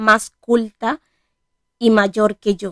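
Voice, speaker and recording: The woman's fairly high voice has fairly even intonation and a dry, close sound with no echo. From Dominican Republic, Bonao. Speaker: podcaster. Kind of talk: personal monologue.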